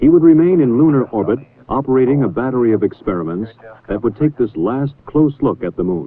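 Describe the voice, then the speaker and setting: With a normal speaking voice, a man talks at a fairly quick pace and medium pitch, his intonation lively. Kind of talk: documentary narration.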